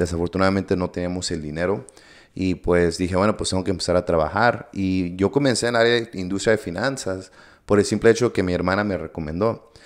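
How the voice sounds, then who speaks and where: The speech runs at a very fast pace with fairly even intonation. The background is quiet. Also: man. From US, Coachella Valley, California, Mexican-American; California. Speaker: entrepreneur; podcast guest. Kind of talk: interview. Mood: reflective, sincere. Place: studio. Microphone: studio mic.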